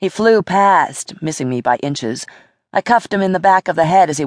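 The intonation is lively in this plain reading aloud. Behind it, the background stays quiet.

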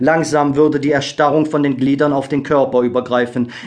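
A man's plain, everyday voice, fairly high in pitch. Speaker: audiobook narrator. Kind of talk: scripted audiobook narration, solemn and dramatic. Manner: slow, hushed, gravely expressive; measured, melancholic, with pauses for suspense.

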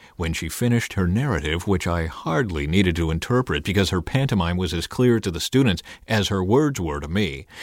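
A man's normal speaking voice, lively in intonation and fairly quick in pace. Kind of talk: audiobook narration, first-person memoir read aloud. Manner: measured, even-paced, storytelling delivery.

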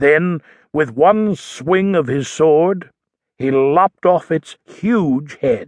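Heard in a dry, close sound with no echo, a man speaks at a very slow pace in a dramatic tone. His pitch is fairly high, with ordinary pitch variation. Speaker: audiobook narrator. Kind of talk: scripted audiobook narration of a children's nonfiction book. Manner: dramatic storytelling, building tension and suspense.

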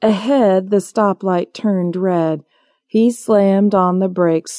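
In a natural voice and with fairly even intonation, a speaker reads aloud against a quiet background.

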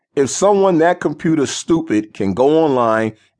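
A man's confident tone, lively intonation and moderate pace against a quiet background. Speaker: audiobook narrator. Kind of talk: scripted infomercial-style sales pitch, audiobook narration. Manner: hyped, persuasive, salesman-like; punchy, emphatic, confident.

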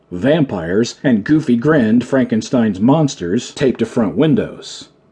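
Reading aloud, plain

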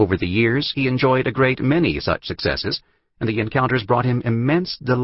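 The delivery is an unforced reading voice with fairly even intonation. The background is quiet.

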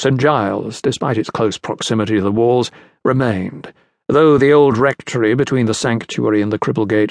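Over a quiet background, a natural reading voice carries ordinary pitch variation.

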